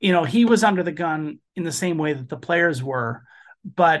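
A man with an American accent speaks in a high, bright and sharp voice. His pace is moderate, and the background is quiet. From Chicago, US. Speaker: documentary filmmaker. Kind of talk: interview conversation.

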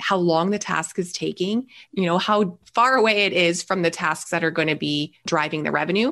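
A normal speaking voice from a woman with a Canadian accent, fairly low pitch and ordinary pitch variation, over a quiet background. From Canada. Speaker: business growth strategist. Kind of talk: interview.

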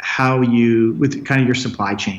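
Noticeable background noise surrounds a man with a western Canadian accent speaking at medium pitch. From Canada, Red Deer, Alberta. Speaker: tech entrepreneur. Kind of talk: interview.

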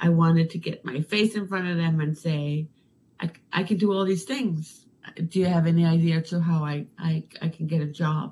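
A woman's somewhat breathy, dark, mellow voice, fairly low in pitch, at a moderate pace with fairly even intonation. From Denmark. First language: Danish. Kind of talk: casual interview.

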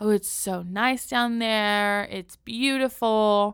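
A woman with an American accent speaks at a medium pitch with ordinary pitch variation, on a very clean recording with a silent background. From San Diego, California. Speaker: podcast host. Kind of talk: casual solo podcast narration. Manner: casual, with fillers and restarts.

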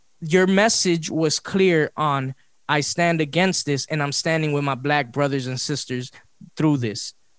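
A plain, everyday voice at a fairly slow pace with ordinary pitch variation. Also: man, fairly high pitch for a man. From Los Angeles. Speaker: podcast host. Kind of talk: casual chat.

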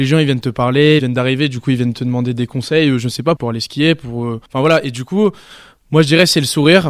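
This is a man with a plain, everyday voice. His pitch varies in an ordinary way. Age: 20s. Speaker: holiday club entertainer. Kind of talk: interview. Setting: holiday village on location.

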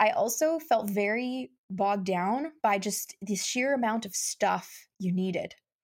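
On a very clean recording with a silent background, a woman in a plain, everyday voice speaks at a fairly slow pace with fairly high pitch, lively intonation and hardly any pauses. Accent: Canadian. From Canada, Saskatchewan (Saskatoon). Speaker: mindset coach and marketing strategist. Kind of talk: casual interview.

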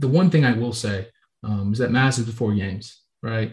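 A somewhat breathy man with an American accent talks at a fairly quick pace with ordinary pitch variation. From Florida, Tampa Bay area. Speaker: college football player. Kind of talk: interview. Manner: hesitant, with many fillers.

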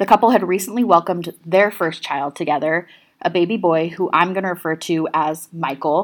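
A woman's unremarkable speaking voice, fairly low in pitch, at a fairly quick pace, on a very clean recording with a silent background. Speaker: true crime podcast host. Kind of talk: true-crime narration, telling the case story to a live audience. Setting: live stage with audience at a festival. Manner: steady, serious storytelling; conversational, addressing the audience directly.

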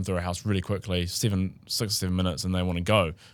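Very deep, low-pitched male speech with a New Zealand accent, very fast pace and fairly even intonation, on a very clean recording with a silent background. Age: 20s. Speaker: real estate agent. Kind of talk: casual chat.

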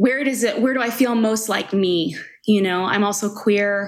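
A normal speaking voice with an American accent, moving at a moderate pace. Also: woman. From Long Island, New York. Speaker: writer and editorial director. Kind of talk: casual interview.

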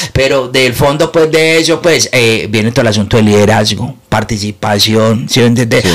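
With a Medellín accent, a man speaks at a moderate pace and medium pitch, with ordinary pitch variation and very even loudness. He hardly pauses, and background noise is noticeable. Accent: Medellín paisa Spanish. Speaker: comedian. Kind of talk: casual chat.

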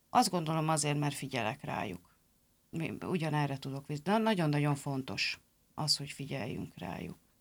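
In a very clean recording with a silent background, a woman with a very deep, low voice speaks at a moderate pace with very wide pitch swings. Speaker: factory team leader. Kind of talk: interview.

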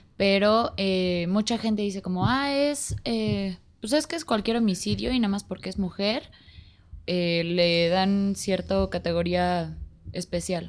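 A woman speaks very slowly at a medium pitch. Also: lively intonation. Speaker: podcast guest. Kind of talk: casual chat.

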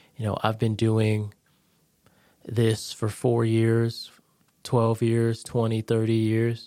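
A man with an American accent and a medium pitch speaks in a plain, everyday voice on a very clean recording with a silent background. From Connecticut. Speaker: veteran and real estate agent. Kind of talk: casual chat.

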